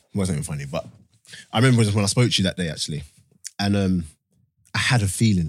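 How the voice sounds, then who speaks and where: Very deep and low, a man's voice moves very fast with lively intonation yet leaves long, frequent pauses. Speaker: podcast host. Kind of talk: casual chat. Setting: studio.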